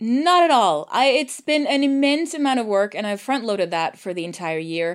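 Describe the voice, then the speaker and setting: Over a quiet background, a woman with a Swedish accent speaks at a fairly high pitch with very wide pitch swings. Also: moderate pace. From Sweden. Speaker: voice actor and audio drama producer. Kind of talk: interview conversation. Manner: halting.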